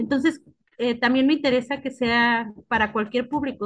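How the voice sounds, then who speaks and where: Here a woman with a plain, everyday voice speaks at a moderate pace with fairly even intonation. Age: 30s. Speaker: art curator. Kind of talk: interview.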